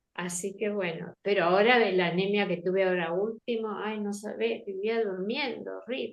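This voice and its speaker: At a moderate pace, a woman talks in a medium pitch with vocal fry and ordinary pitch variation. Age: 70s. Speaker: patient. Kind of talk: casual chat.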